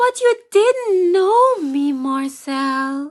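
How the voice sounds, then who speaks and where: A woman's put-on character voice, extremely high-pitched, with very wide pitch swings. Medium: stage play. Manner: hesitant, faltering.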